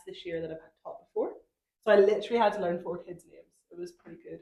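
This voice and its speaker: The woman talks at a very fast pace. Her intonation stays fairly even. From Northern Ireland. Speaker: primary school teacher, podcast co-host. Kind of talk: casual chat.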